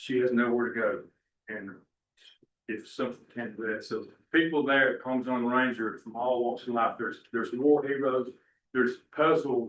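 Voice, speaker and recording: With an American accent, this voice moves at a moderate pace and keeps a fairly even intonation. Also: man. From Tennessee. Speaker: property manager. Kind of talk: public testimony at a board meeting.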